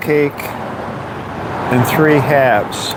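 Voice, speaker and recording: Audible room echo and noticeable background noise surround the speaker. He is a man with a fairly high pitch. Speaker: bakery delivery driver and vlogger. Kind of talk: casual live-stream chat while working. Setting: in a delivery van and at a business. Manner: mumbling.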